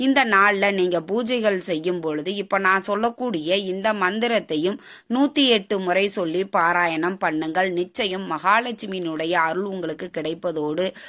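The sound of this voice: A woman talks at a medium pitch with a fairly bright tone. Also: ordinary pitch variation, moderate pace, few pauses.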